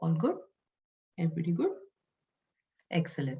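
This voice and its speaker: A woman is talking. Her voice carries a somewhat breathy quality. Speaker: Upanishad teacher. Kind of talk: lecture. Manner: slow.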